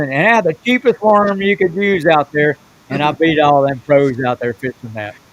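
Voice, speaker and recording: Here a man talks at a fairly quick pace with a Southern US accent and lively intonation. The sound is dry and close, with no echo. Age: 70s. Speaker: professional bass angler. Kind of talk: casual chat. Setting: podcast.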